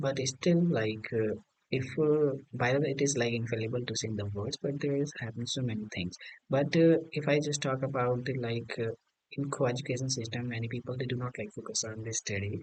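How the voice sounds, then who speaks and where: Speaking with an Indian accent, a man keeps a fairly quick pace and ordinary pitch variation. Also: medium pitch for a man. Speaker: English learner. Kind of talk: casual conversation practice. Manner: hesitant, many fillers.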